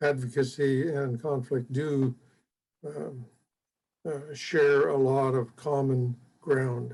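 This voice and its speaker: A man with an American accent speaks at a very slow pace with long, frequent pauses, his dark, mellow tone somewhat breathy and his intonation fairly even. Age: 80s+. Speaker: retired fire chief and mentor. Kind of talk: interview. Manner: halting, many fillers.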